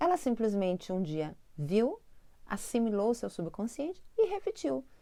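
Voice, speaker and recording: A woman with a southern Brazilian accent speaks at a fairly slow pace, her pitch fairly high. Her tone is dark and mellow, and her pitch swings very widely. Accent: gaúcho Brazilian Portuguese. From southern Brazil, Porto Alegre (Rio Grande do Sul). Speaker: spiritual teacher and channel host. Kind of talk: spiritual self-help talk to camera. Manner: conversational, addresses viewers directly.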